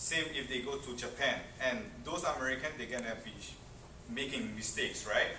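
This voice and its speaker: A man's fairly high voice with a non-native accent and ordinary pitch variation, at a moderate pace with long, frequent pauses, amid noticeable background noise and audible room echo. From Tahiti. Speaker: student presenter. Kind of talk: classroom presentation. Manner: halting, many fillers.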